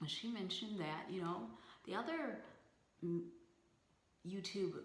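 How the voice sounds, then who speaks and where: Amid audible room echo, a woman speaks at a very slow pace with lively intonation. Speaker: beauty vlogger. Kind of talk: casual vlog talk to camera. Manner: halting, stuttering with ums.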